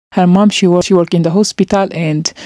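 Her tone dark and mellow, a woman speaks in a fairly low pitch with monotone, flat intonation, the sound dry with no echo and the background quiet. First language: not English. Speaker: vlogger. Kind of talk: emotional vlog monologue. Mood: serious, sad. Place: home room. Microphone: handheld.

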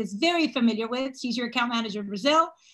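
A woman's bright, sharp tone comes through over a quiet background. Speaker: webinar host. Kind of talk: presentation introduction. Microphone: video call.

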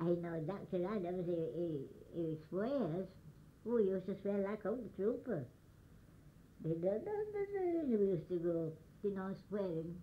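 A medium-pitched woman at a very slow pace, with ordinary pitch variation, long, frequent pauses, and audible room echo. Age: 80s+. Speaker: elderly storyteller. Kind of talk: oral history storytelling.

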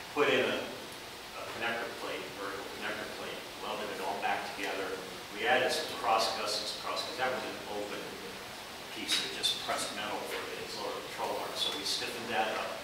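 A man's fairly quick speech amid noticeable background noise and strong room echo. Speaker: presenter. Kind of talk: technical presentation talk. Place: classroom. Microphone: camera far.

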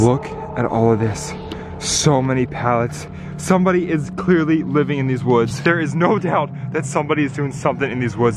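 Music plays in the background as a man talks at a fairly quick pace with ordinary pitch variation. The sound is dry, with no echo. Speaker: vlogger exploring woods. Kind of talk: excited casual vlog narration to viewers. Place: forest. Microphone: phone near.

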